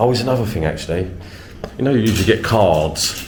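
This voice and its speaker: Through audible room echo and noticeable background noise, a man speaks with a southern English accent. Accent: southern English (London-ish). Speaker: travel vlogger. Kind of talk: casual vlog narration.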